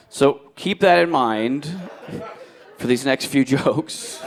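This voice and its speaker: Against noticeable background noise, a man with a fairly high pitch speaks at a very slow pace. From New Jersey. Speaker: stand-up comedian. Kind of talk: live stand-up comedy set.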